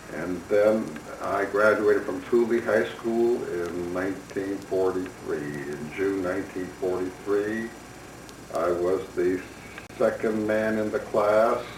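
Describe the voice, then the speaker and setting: At a very slow pace, a man with a Chicago accent speaks in a fairly low pitch and fairly even intonation, with audible room echo and noticeable background noise. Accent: Chicago American English. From US Midwest, Chicago. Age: 70s. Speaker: retired doctor. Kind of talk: personal memoir. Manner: reflective, unhurried.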